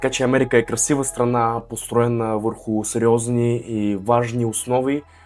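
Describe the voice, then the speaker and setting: A man's monotone, flat delivery with hardly any pauses, over music in the background. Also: medium pitch for a man, moderate pace. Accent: Russian. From Russia. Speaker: vlogger, university student. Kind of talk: casual talk to camera.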